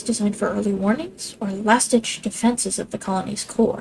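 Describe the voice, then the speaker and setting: Amid noticeable background noise, a woman with a fairly high pitch talks at a fairly quick pace. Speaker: gaming streamer. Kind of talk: let's play commentary, reading game text aloud. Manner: stumbles over words.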